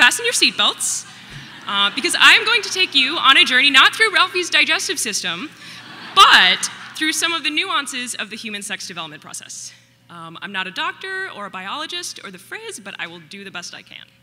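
With music in the background, a woman speaks fairly quickly in a high voice, her pitch swinging very widely and her loudness shifting in big swings. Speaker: presenter. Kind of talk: public talk. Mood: light, playful. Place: stage. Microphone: podium.

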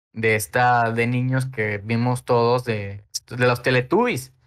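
Very slowly, a man speaks at a medium pitch. His tone is bright and sharp. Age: 20s. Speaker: illustrator. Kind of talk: casual chat. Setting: recorded at night. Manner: halting, many fillers.

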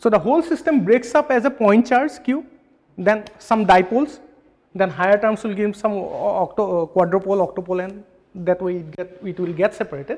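A man speaks with lively intonation at a fairly quick pace. His pitch is high. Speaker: physics lecturer. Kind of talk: lecture. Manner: fast; halting. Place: classroom.

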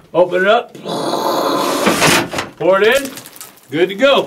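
Raising and projecting his voice, a man speaks at a fairly slow pace with lively intonation. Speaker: guide. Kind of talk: tour commentary. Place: tunnel cave. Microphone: camera far.

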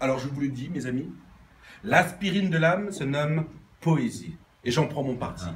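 Speech moves at a moderate pace with ordinary pitch variation and long, frequent pauses, over light background noise. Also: man, fairly high pitch for a man. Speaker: amateur poet. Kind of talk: reading aloud. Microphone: phone near.

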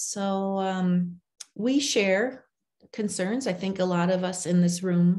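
Against a quiet background, a woman speaks very slowly at a medium pitch, her tone dark and mellow, somewhat breathy, with fairly even intonation. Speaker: reading education nonprofit leader. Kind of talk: conference presentation. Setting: video call. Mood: earnest, personal. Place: home room. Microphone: video call.

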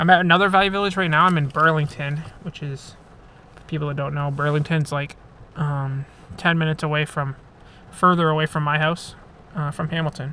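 Over light background noise, a man speaks fairly quickly in a monotone, flat intonation with a dry sound and no echo. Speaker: thrift reseller vlogger. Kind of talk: casual vlog chat. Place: car. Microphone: phone near.

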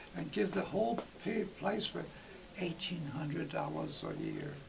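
A man with an American accent talks at a fairly slow pace over noticeable background noise. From Iowa. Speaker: retired gymnastics coach. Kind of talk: interview answer. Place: home room.

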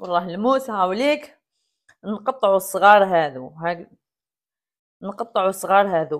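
Against a quiet background, the speaker talks at a fairly slow pace with lively intonation and long, frequent pauses. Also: woman. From Algeria. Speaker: cooking vlogger. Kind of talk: cooking tutorial. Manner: casual, chatty. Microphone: lapel.

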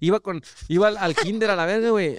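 A man is speaking. The sound is dry, with no echo. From Mexico. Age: 20s. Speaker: former youth footballer, content creator; content creator. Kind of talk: casual chat. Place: studio. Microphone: studio mic.

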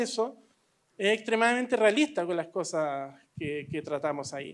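A man at a moderate pace with lively intonation, over a quiet background. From Chile. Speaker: film director; panelist. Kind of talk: panel discussion. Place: hall. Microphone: handheld.

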